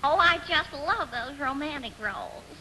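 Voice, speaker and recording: Putting on a nasal character voice, a woman speaks at a moderate pace in a high pitch with lively intonation, with clear background noise behind her. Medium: comedy sketch. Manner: coy, drawling, folksy.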